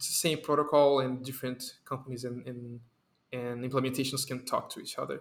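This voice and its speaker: A man at a fairly quick pace with monotone, flat intonation. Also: medium pitch for a man. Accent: Portuguese. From Brazil. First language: Portuguese. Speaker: software developer. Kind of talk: casual chat.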